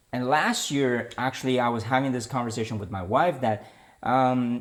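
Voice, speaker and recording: Someone with a Chinese accent is heard on a very clean recording with a silent background. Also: man. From China. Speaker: political commentary podcaster. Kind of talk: opinion monologue. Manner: hesitant, with fillers and restarts.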